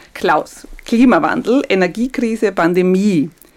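With lively intonation, this is an ordinary speaking voice. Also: woman. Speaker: podcast host. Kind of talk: interview.

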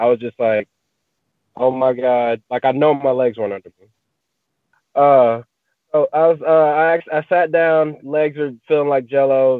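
A fairly high-pitched man with an East Texas accent, fairly slow, with long, frequent pauses. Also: fairly even intonation, big swings in loudness. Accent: East Texas Southern US. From US South, East Texas (Marshall). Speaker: professional MMA fighter. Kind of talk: interview. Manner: halting, many fillers.

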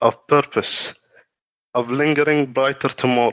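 A man's medium-pitched voice, very slow in pace, with fairly even intonation. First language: not English. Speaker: lore content creator. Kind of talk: reading aloud. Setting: live stream. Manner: halting.

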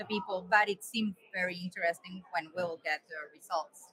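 In a Spanish accent, a woman of medium pitch speaks with fairly even intonation, recorded in a dry, close sound with no echo. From Colombia. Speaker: cardiac surgeon and editor. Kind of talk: casual conference chat. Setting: live webcast from a conference.

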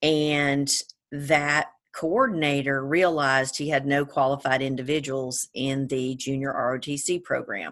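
Against a quiet background, a woman with an American accent speaks at a fairly slow pace in a very deep, low pitch, her intonation fairly even. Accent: Georgia accent, comes and goes. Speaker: attorney, service academy graduate. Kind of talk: interview.

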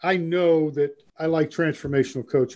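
Speaking with an American accent in a plain, everyday voice, a man talks at a moderate pace in a fairly high pitch. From New York (Brooklyn, Long Island). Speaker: real estate broker and coach. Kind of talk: interview.

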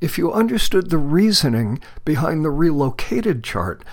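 The speaker has an American accent and a moderate pace. The recording is very clean, with a silent background. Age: 60s. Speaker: astrologer. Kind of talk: scripted narration.

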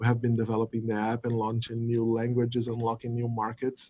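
A man with a Portuguese accent speaks in a dark, mellow tone. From Brazil. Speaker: app product lead. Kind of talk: interview.

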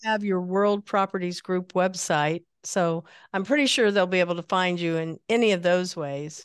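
A woman's medium-pitched voice with an American accent, moderate pace and ordinary pitch variation, in a dry, close recording with no echo and a quiet background. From US Midwest. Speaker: podcast host. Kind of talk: interview. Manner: animated.

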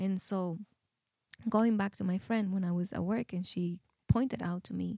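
Her voice is medium-pitched, somewhat breathy and dark and mellow in tone, with fairly even intonation and a dry, close sound without echo. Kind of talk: testimony.

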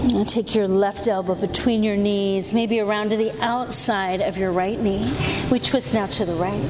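Against noticeable background noise, a woman speaks at a moderate pace in a calm tone, her medium-pitched voice showing ordinary pitch variation. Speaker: yoga instructor. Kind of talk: live yoga class cueing breath-linked vinyasa flow. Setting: yoga studio class. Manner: calm, steady breath-paced cueing; gentle, soothing reflective guidance.

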